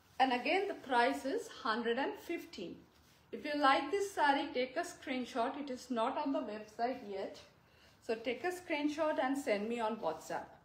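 Fairly slow speech with audible room echo. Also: woman, high pitch for a woman. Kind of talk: live sales presentation. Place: shop. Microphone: phone near.

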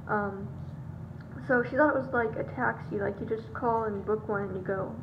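With noticeable background noise, a woman speaks at a fairly quick pace. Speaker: vlogger. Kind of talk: casual vlog chat. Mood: chatty, light. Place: home room. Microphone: phone near.

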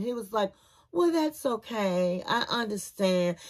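Her pitch swings very widely in an animated tone as a woman speaks at a fairly slow pace. The background is quiet. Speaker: TV review youtuber. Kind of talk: casual TV show review commentary. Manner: animated, chatty. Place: home room. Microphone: phone near.

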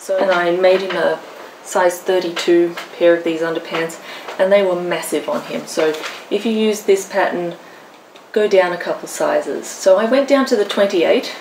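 With noticeable background noise, a woman in an Australian accent speaks at a moderate pace with ordinary pitch variation. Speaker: craft vlogger. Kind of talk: casual show-and-tell vlog. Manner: chatty, animated. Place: home room. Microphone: camera far.

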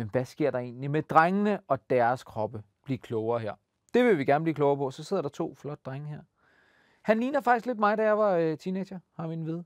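A man with a fairly high pitch talks at a fairly quick pace in an animated tone, his pitch swinging very widely and his loudness varying greatly, with a dry sound free of echo and a quiet background. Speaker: children's TV host. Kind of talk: casual presenting to kids. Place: studio. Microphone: lapel.

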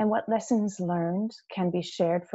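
In a quiet setting, a woman talks at a fairly slow pace with ordinary pitch variation. Her voice is somewhat breathy. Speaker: webinar host. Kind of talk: webinar presentation. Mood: friendly, informal welcome. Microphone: video call.

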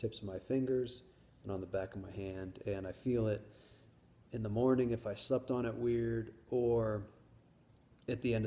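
A man's dark, mellow, somewhat breathy voice at a moderate pace, with fairly even intonation. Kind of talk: casual vlog chat. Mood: calm, matter-of-fact. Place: home room. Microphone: phone near.

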